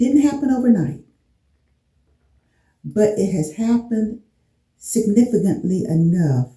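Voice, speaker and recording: A somewhat breathy woman with a dark, mellow tone, fairly high pitch and fairly slow pace. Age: 60s. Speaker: beauty vlogger. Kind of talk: casual talk to camera.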